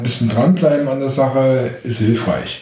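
A man of medium pitch with a slight Saxon accent speaks at a fairly slow pace, with audible room echo. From Dresden, Saxony. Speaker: documentary filmmaker. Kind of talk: casual chat. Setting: home kitchen. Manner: halting, many fillers.

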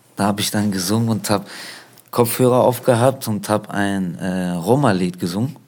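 Pitched fairly low, this man keeps a moderate pace with ordinary pitch variation. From Germany. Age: 30s. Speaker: rapper and singer. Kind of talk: interview.

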